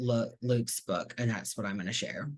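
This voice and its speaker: The background is quiet. A man speaks with a bright, sharp tone. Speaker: reading series host. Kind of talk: event introduction. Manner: slow.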